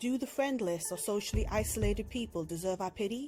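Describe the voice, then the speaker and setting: With music in the background, a woman speaks at a moderate pace with ordinary pitch variation. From England. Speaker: narrator. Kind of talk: self-help video narration.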